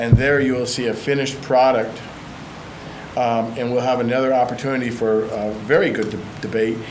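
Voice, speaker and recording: A man's medium-pitched, monotone, flat delivery at a fairly quick pace, with audible room echo and noticeable background noise. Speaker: city council member. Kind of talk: council meeting debate. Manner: halting.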